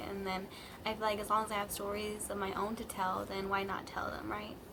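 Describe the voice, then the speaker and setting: Against noticeable background noise and audible room echo, a woman talks at a medium pitch in a monotone, flat intonation. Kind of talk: casual storytime vlog. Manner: halting, many fillers.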